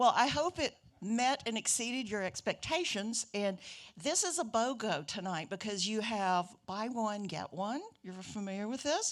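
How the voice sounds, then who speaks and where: A woman with a Southern accent speaks at a fairly high pitch with lively intonation. Her pace is fairly slow, and the recording is very clean with a silent background. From Alabama, US South. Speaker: conversation moderator. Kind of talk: onstage Q&A moderation. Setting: stage with audience.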